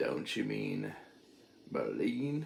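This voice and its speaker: The man puts on a character voice. Clear background noise runs underneath. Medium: read story.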